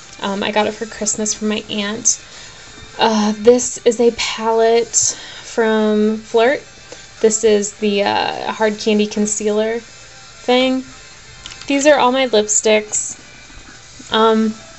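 A woman speaks very slowly in a monotone, flat intonation, leaving long, frequent pauses over faint music in the background. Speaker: beauty vlogger. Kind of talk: casual vlog chat. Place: home room. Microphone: phone near.

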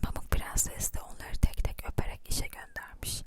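The whispering moves along at a fairly slow pace. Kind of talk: close-whisper ASMR fairy-tale reading. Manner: whispered, soft, slow.

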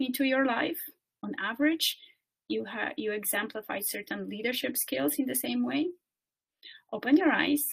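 A woman with a high pitch speaks at a moderate pace over a quiet background. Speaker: coach and speaker. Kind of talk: guided meditation; webinar presentation. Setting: video call webinar. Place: home room. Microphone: webcam.

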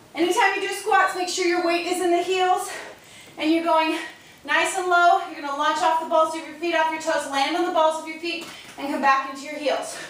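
With audible room echo, a woman speaks at a fairly quick pace in an extremely high pitch and fairly even intonation. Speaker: fitness instructor. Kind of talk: workout tutorial. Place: garage. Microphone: camera far.

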